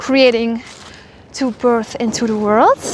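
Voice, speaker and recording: Noticeable background noise accompanies a woman talking at a moderate pace. Her pitch is fairly high and her intonation monotone and flat. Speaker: spiritual mentor. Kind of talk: casual spiritual monologue. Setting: outdoors walking.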